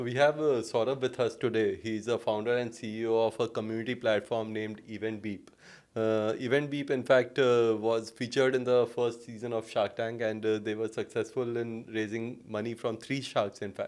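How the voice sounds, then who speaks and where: At a moderate pace, a man speaks with a monotone, flat intonation. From India. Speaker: podcast host. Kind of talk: interview. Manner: halting. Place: studio. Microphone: studio mic.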